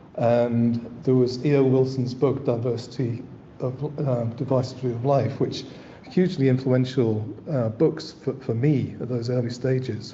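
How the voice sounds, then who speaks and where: Against audible room echo, a man at medium pitch speaks at a fairly slow pace with fairly even intonation. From northern England, East Yorkshire. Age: 60s. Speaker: landscape architect. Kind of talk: lecture. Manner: halting, with frequent repetitions and fillers.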